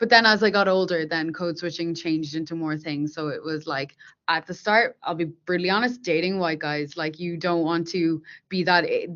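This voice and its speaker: In an Irish accent, a woman with a fairly low pitch speaks at a moderate pace with ordinary pitch variation. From Ireland, Dublin. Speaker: software engineer. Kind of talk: interview.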